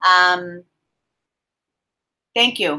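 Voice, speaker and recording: On a very clean recording with a silent background, the voice sounds strained, with a bright, sharp tone. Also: woman. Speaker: spiritual reader, livestream host. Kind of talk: live stream chat. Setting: live video stream. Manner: subdued, restrained tone.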